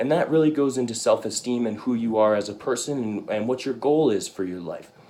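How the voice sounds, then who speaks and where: A man with an unremarkable speaking voice talks at a fairly quick pace. His pitch is medium, with ordinary variation. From Arizona (Tucson), born in Canada. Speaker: university student. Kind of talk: class presentation speech.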